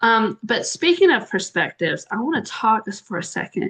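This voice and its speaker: Speaking with a Southern US accent, a woman uses a fairly high pitch, lively intonation and a moderate pace. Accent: Southern American. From US South. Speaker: interviewer. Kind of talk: interview.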